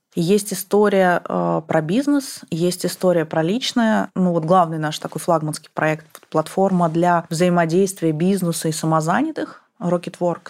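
A woman with an unremarkable speaking voice talks at a fairly slow pace, with hardly any pauses. Her pitch moves in an ordinary way. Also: fairly low pitch for a woman. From Kazakhstan, Almaty. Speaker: former bank CEO. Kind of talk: casual interview.

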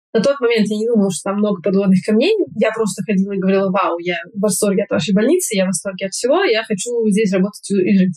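A woman's medium-pitched, somewhat breathy voice at a very fast pace. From Moscow, Russia. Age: 20s. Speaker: pediatric endocrinologist and master's student. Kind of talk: interview. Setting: call.

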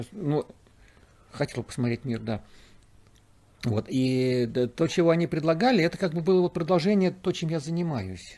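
A man with a fairly high, dark, mellow voice speaks at a moderate pace with long, frequent pauses on a very clean recording with a silent background. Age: 60s. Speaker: cosmonaut. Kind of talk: interview. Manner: halting.

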